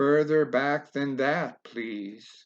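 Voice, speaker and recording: The speaker uses a put-on character voice. The background is quiet. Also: man. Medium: read story. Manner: polite, formal.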